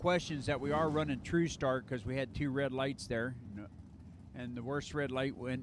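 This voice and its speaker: Speaking at a moderate pace with an American accent, a man has an unremarkable speaking voice that sits fairly high in pitch. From Maryland, US. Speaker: drag racing track announcer. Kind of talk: live commentary.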